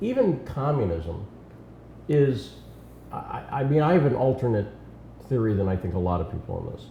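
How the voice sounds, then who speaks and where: A man's medium-pitched voice with an American accent, at a moderate pace with long, frequent pauses and audible room echo. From western Massachusetts. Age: 50s. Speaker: political commentator. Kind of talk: casual interview chat.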